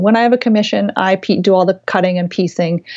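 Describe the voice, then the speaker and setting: The woman has a normal speaking voice. Pitch moves in an ordinary way as she talks. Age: 40s. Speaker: quilt designer. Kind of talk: interview.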